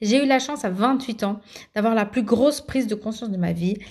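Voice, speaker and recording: On a very clean recording with a silent background, a woman speaks at a fairly high pitch with a dark, mellow tone and ordinary pitch variation. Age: 30s. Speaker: podcast host, mother coaching other mothers. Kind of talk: solo podcast monologue. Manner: halting, many fillers and repetitions.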